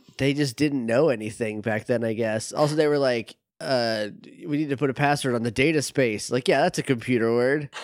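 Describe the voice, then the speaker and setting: Speaking at a fairly quick pace, a man uses an ordinary speaking voice with medium pitch and ordinary pitch variation. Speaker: podcast co-host learning the story. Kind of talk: casual chat.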